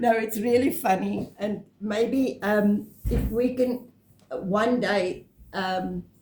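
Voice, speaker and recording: A woman speaks very slowly with ordinary pitch variation against noticeable background noise. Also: fairly high pitch for a woman. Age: 70s. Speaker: retired vlogger. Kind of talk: casual chat.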